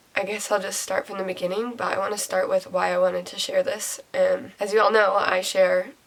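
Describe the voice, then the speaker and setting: The speaking pace is moderate, with noticeable background noise present. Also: woman. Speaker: mommy vlogger. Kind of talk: personal vlog testimony. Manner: hesitant, with fillers.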